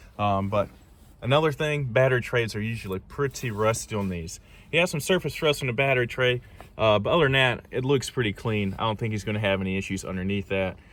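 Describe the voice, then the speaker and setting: A man with a Southern US accent speaks at a very fast pace and medium pitch, using ordinary pitch variation. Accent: Southern US country. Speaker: car enthusiast YouTuber. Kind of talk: casual walkaround video. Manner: casual, many fillers.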